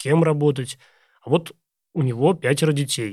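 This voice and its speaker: This is an unremarkable speaking voice with ordinary pitch variation, delivered at a moderate pace. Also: man, very clean recording, silent background. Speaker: podcast host. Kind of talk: interview.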